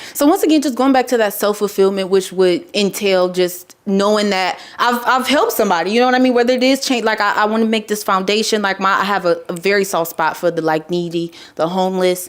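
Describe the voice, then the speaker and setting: Over noticeable background noise, a woman of medium pitch speaks at a very fast pace with hardly any pauses, very even loudness and ordinary pitch variation. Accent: American. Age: 20s. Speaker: musician. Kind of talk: interview. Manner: casual.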